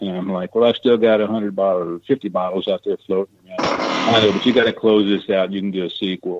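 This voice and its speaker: Barely pausing, a man with a fairly low pitch and an American accent talks at a very fast pace with fairly even intonation. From Missouri. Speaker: treasure diver and author. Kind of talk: radio interview. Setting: radio show.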